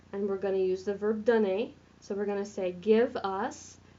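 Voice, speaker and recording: Noticeable background noise surrounds a woman with an American accent. Her fairly high voice keeps a moderate pace. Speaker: French teacher. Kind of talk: recorded tutorial lesson.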